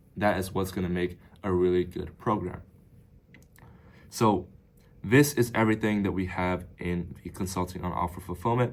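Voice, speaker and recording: A man speaks in a very deep, low voice with fairly even intonation. He leaves long, frequent pauses. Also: moderate pace. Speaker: business coach. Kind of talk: tutorial. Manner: casual.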